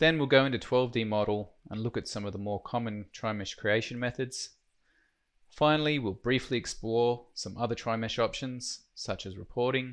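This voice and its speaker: With an Australian accent, a man speaks at medium pitch and a moderate pace, his intonation fairly even against a quiet background. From Australia, Queensland. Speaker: software trainer. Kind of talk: tutorial.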